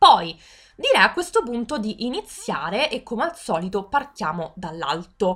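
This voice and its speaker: At a fairly slow pace, a woman speaks in a fairly high pitch with an animated tone and very wide pitch swings. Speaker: gaming youtuber. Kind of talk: game tutorial walkthrough.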